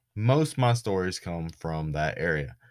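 Speaking with a Southern US accent, a man with a very deep, low pitch uses lively intonation on a very clean recording with a silent background. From US South, Florida Panhandle. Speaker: podcast host. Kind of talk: casual storytelling monologue.

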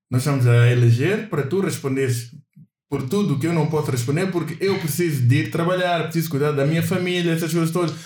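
Amid audible room echo, a man with a fairly high pitch talks at a very fast pace with ordinary pitch variation. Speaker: podcast co-host. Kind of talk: casual chat.

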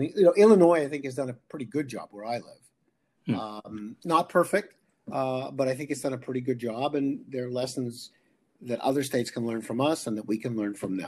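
Lively in intonation, a man uses a normal speaking voice at medium pitch and a fairly quick pace. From Canada. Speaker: economics professor. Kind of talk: interview.

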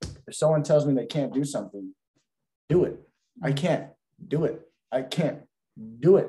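The tone is dark and mellow, somewhat breathy, with lively intonation. The pace is moderate, broken by long, frequent pauses. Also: man, fairly high pitch for a man. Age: young. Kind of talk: casual chat. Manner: animated.

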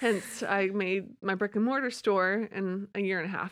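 With a plain, everyday voice, a woman talks at a medium pitch and moderate pace with ordinary pitch variation on a very clean recording with a silent background. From moved around the US; later childhood in Charlotte, North Carolina. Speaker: shop owner and photographer. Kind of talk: interview conversation. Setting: recording studio.

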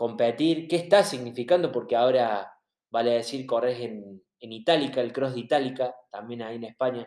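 A man's plain, everyday voice, medium in pitch, with ordinary pitch variation. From Argentina. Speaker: podcast host. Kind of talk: interview.

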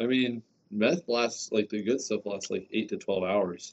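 This is an ordinary speaking voice at a fairly slow pace. The pitch varies in an ordinary way. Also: man. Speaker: podcast co-host. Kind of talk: casual chat. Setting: basement room. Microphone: muffled by face mask.

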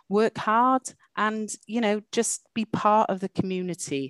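A woman with a Welsh accent, fairly slow, in a dry, close sound with no echo. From Wales. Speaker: university dean. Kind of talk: interview. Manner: animated.

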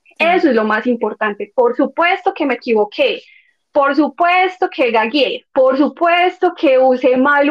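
A woman's high voice with lively intonation at a moderate pace. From Medellín, Colombia. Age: 20s. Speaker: former au pair. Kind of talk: interview.

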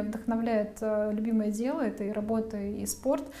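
With audible room echo, a woman talks at a fairly slow pace and a fairly high pitch. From Russia, outside Moscow. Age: 30s. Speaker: media manager. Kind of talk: interview.

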